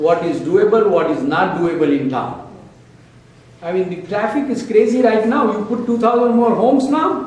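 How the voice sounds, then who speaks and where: The speech moves at a moderate pace. There is noticeable background noise and audible room echo. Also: man. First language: not English. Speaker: local official. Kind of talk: town hall speech. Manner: animated.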